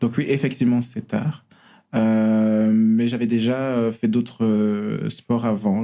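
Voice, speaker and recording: A man's dark, mellow tone at a very slow pace on a very clean recording with a silent background. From Belgium, Brussels. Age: 30s. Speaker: ballet dancer. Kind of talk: casual interview chat. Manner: halting, many hesitations and repeated words.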